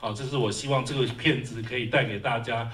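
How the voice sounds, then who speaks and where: A man's fairly quick, fairly even-toned speech over light background noise. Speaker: film director. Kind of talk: post-screening Q&A. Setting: stage with audience. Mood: earnest, heartfelt. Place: hall.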